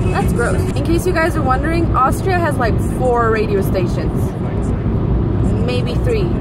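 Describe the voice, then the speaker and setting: Music plays in the background while the speaker talks at a moderate pace in a dry sound with no echo. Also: woman. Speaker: vlogger driving. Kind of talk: casual vlog chat. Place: car. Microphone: phone near.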